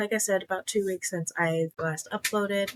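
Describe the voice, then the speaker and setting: Soft-spoken and with fairly even intonation, the voice sounds dry and close, with no echo. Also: woman. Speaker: cross stitch vlogger. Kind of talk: casual vlog chat. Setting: home recording late at night. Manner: soft-spoken, keeping voice low.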